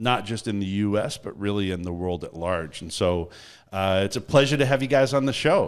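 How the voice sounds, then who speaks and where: In a very clean recording with a silent background, a man with an unremarkable speaking voice and a Canadian accent talks at a fairly quick pace, his fairly low pitch carried by lively intonation. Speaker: podcast host. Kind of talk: casual interview chat.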